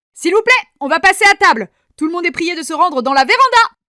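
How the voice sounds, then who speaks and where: In a put-on character voice, someone speaks in a raised, projected voice at a fairly quick pace, with very wide pitch swings. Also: woman, extremely high pitch for a woman. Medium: read story.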